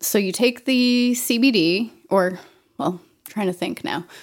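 Recorded very cleanly against a silent background, a woman with an American accent speaks at a fairly slow pace with lively intonation. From Maine, US (Auburn, central Maine). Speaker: candle and CBD oil maker, fly fishing angler. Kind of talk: casual interview. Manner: hesitant, many fillers.

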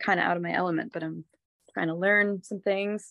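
A woman with an unremarkable speaking voice and an American accent, medium pitch, fairly quick pace, very clean recording, silent background, and a dry, close sound with no echo. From US, mainly New York State and Massachusetts. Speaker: singer-songwriter. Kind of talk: casual chat.

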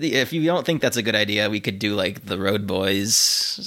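Playful in tone, a man with a fairly low pitch speaks at a moderate pace with ordinary pitch variation and a bright, sharp tone. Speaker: podcast host. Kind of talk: casual chat. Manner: joking, playful.

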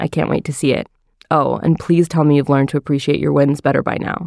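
Very deep and low in pitch, a woman talks at a very fast pace in a monotone, flat intonation. The recording is very clean with a silent background, dry and close with no echo. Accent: New Jersey. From northern New Jersey. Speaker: recipe developer. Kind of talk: interview.

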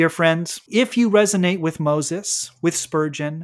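A man with a normal speaking voice talks at a fairly high pitch and a moderate pace. His pitch variation is ordinary, and the recording is very clean, with a silent background. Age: adult. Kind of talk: scripted devotional monologue.

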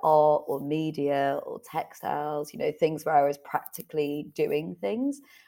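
A woman speaks with a Yorkshire accent. The recording is very clean, with a silent background. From northern England, Leeds. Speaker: author and entrepreneur. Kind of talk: interview.

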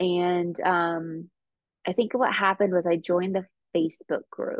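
A woman's medium-pitched voice, fairly slow and with fairly even intonation. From California. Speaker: podcast co-host. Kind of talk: recovery meeting testimony.

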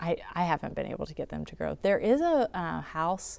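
A woman speaks with an American accent. Her pace is moderate. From southeastern North Carolina (sand hills). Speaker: urban farm manager and nonprofit director. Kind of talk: casual interview. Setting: greenhouse.

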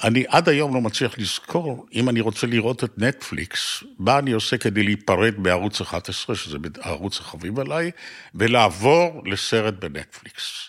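The man's pitch is medium, yet it swings very widely. He keeps a moderate pace. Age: 80s+. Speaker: podcast host. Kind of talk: interview.

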